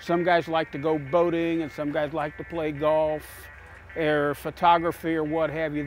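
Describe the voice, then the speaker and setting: A fairly high-pitched man at a moderate pace with fairly even intonation, music in the background. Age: 60s. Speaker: car owner at a car show. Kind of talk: interview.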